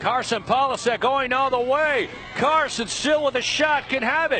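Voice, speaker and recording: A man speaks in a raised, projected voice at a moderate pace over noticeable background noise. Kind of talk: live sports commentary on a youth soccer match, play-by-play. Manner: laughs and reacts in the moment, conversational and upbeat.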